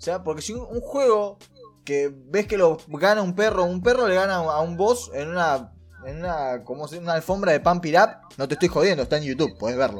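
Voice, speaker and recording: A man with a Rioplatense accent talks at a fairly quick pace in a high pitch for a man, his intonation lively over music in the background. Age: 20s. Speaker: streamer. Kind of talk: casual chat.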